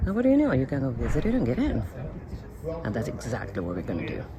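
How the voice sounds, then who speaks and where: Over noticeable background noise, a woman speaks with a Spanish accent. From Argentina. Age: 40s. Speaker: travel vlogger. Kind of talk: travel vlog narration. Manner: animated.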